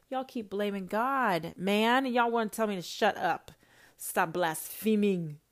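Her tone animated, a woman with a medium-pitched voice talks at a moderate pace with ordinary pitch variation. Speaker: self-styled prophetess podcaster. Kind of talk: religious rant monologue. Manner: loud.

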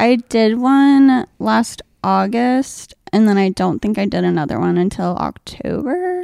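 A woman talks at a fairly slow pace. The sound is dry and close with no echo. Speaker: stand-up comedian. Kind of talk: casual interview. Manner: soft-spoken; calm, chill.

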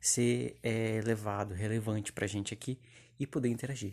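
A man with fairly low pitch talks at a fairly quick pace with fairly even intonation, recorded very cleanly against a silent background. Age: 20s. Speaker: podcast host. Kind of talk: casual monologue. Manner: halting.

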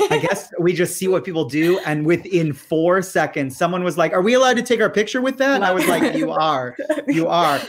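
A man with an American accent talks in a high voice with lively intonation and very even loudness. He speaks at a fairly quick pace over noticeable background noise. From Michigan, US. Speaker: Broadway tour company founder and guide. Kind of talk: casual interview chat. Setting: video call. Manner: animated.

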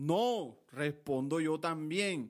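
Speaking at a very slow pace with a Colombian Caribbean accent, a man with a fairly high pitch and ordinary pitch variation is heard in a very clean recording with a silent background. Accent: Colombian Caribbean (costeño) Spanish. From Colombian Caribbean coast (Montelíbano, Córdoba). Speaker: podcast host, lawyer and aspiring vallenato singer. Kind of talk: casual monologue.

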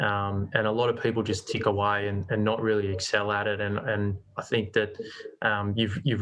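Against a quiet background, a man speaks with an Australian accent. His pitch is fairly low and his intonation monotone and flat. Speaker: commercial real estate agency manager. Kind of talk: interview.

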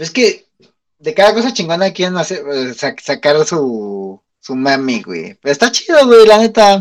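Speaking very slowly with a Mexican accent, a man lets his pitch swing very widely. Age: 30s. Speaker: podcast co-host. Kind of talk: casual chat.

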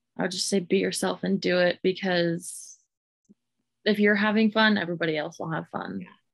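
A woman with a plain, everyday voice and an American accent, fairly even intonation and a fairly quick pace. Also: fairly low pitch for a woman. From Southwest Oklahoma, Hobart. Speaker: singer-songwriter. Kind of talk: interview.

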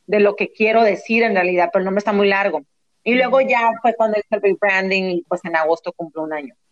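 Speaking at a very fast pace, a woman uses a medium pitch with ordinary variation. The sound is dry and close, with no echo. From US West Coast, San Diego, Mexican family. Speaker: actress and entrepreneur. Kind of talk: interview.

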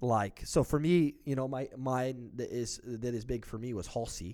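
In a normal speaking voice, a man speaks at a fairly slow pace and medium pitch, with ordinary pitch variation. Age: 20s. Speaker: podcast co-host. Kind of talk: casual chat.

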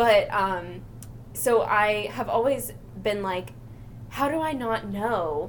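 The pace is very slow, broken by long, frequent pauses. Audible room echo hangs on the voice. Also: woman. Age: 20s. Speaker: podcast co-host. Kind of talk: casual chat. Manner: giggly, lots of laughter.

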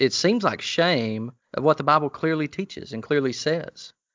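A man with a Southern US accent at a moderate pace. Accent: Southern US, hillbilly. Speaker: co-host, pastor and theologian with a PhD.

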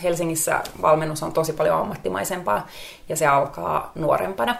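Moderate pace over noticeable background noise. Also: woman. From Finnish Lapland (Rovaniemi). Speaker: former model, positive psychology coach. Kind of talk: interview.

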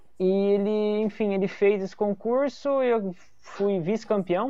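A man's high-pitched voice at a fairly slow pace. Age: 20s. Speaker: comedian and illustrator. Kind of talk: casual chat.

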